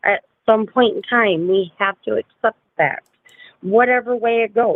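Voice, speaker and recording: A woman with a plain, everyday voice speaks at a moderate pace. Her pitch is fairly high and varies an ordinary amount. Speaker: livestream host discussing true crime. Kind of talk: casual livestream chat.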